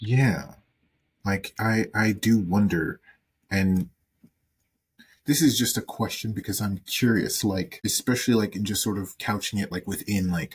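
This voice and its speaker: A man with an American accent and a fairly low pitch speaks at a fairly slow pace with ordinary pitch variation. He sounds somewhat breathy and takes long, frequent pauses. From US South. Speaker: podcast co-host. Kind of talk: casual chat. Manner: animated.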